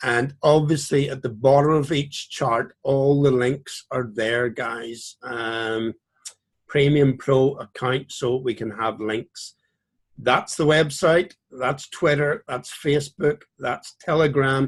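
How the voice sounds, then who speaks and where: A man with a Northern Irish accent speaks at a very slow pace. His fairly high pitch follows fairly even intonation. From Northern Ireland, Belfast. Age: 50s. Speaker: trading educator. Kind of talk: tutorial. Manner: casual.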